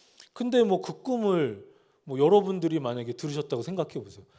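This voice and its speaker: A man's high-pitched voice with a dark, mellow tone, very wide pitch swings and a fairly quick pace, in a very clean recording over a silent background. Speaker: pastor. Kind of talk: sermon.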